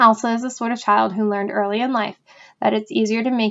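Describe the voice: Intonation is fairly even throughout this plain reading aloud.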